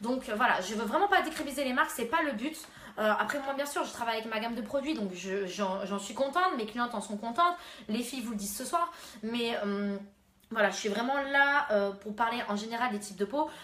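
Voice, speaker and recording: A woman's fairly high voice at a fairly quick pace, with audible room echo and noticeable background noise. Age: 20s. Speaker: beautician. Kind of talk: live stream beauty advice. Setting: live stream at home. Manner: hesitant, many fillers.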